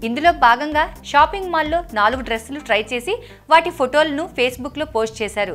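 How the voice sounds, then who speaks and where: Over noticeable background noise, a woman talks in a high pitch with lively intonation. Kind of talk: news bulletin narration.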